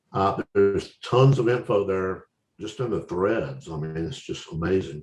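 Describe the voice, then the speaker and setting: Here is a man with an Alabama accent and a fairly low voice. He talks at a fairly slow pace with lively intonation. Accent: Southern US (Alabama). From US South, Alabama. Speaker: website founder and scale modeller presenter. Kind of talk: online presentation Q&A. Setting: video call.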